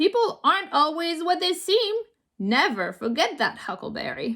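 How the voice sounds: A woman's put-on character voice, extremely high, bright and sharp, with big pitch swings at a moderate pace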